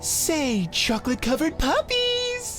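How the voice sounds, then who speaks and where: A squeaky, put-on character voice talks at a moderate pace. Clear music plays in the background. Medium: cartoon. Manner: chirpy, saccharine, gushing.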